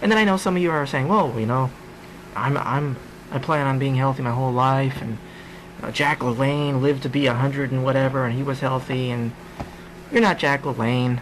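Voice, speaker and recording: Amid noticeable background noise, a man with a medium pitch speaks at a fairly quick pace, with ordinary pitch variation and long, frequent pauses. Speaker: comedian. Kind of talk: casual podcast monologue.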